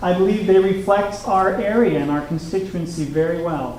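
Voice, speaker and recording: A man with an American accent talks at a moderate pace. Noticeable background noise and audible room echo are present. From Oklahoma. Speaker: political candidate. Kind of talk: political debate.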